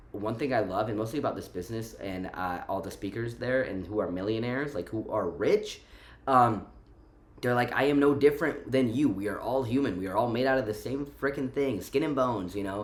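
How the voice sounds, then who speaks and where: A man with an American accent sounds animated and talks at a fairly quick pace. The room echo is audible. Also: medium pitch for a man, ordinary pitch variation. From Romania, moved to the US at five. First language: Romanian. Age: 20s. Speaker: vlogger. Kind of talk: casual vlog monologue. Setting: at home. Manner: animated, fillers and repetitions.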